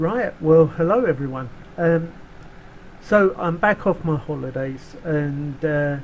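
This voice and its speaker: Against noticeable background noise, a man with a fairly high pitch speaks very slowly with ordinary pitch variation. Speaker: flight sim video blogger. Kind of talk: casual tutorial talk to camera. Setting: home, dog barking in background.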